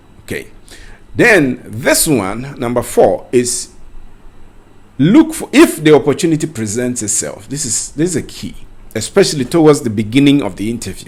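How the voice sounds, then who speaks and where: With a Ghanaian accent, a man speaks at a fairly high pitch with lively intonation and big swings in loudness. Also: moderate pace. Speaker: career coach. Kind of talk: tutorial. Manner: conversational.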